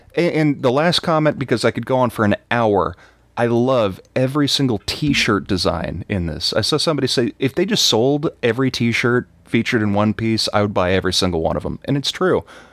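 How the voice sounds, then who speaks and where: A man with an American accent talks at a fairly quick pace and medium pitch, with lively intonation, very even loudness and hardly any pauses. The very clean recording has a silent background and a dry, close sound with no echo. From Texas. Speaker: podcast guest, anime fan. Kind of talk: casual chat.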